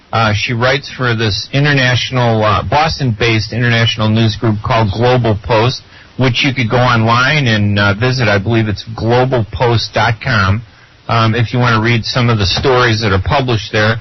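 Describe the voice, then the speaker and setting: Noticeable background noise sits behind a man with a Chicago accent. He keeps a moderate pace, fairly even intonation, and very even loudness. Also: medium pitch for a man. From US, Chicago. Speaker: radio co-host, journalist. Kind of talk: radio interview.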